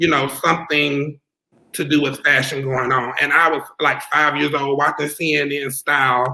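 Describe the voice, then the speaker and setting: A man with a Southern US accent talks at a moderate pace in a fairly high, bright, sharp voice with monotone, flat intonation. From US South, South Carolina. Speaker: fashion designer. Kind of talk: interview.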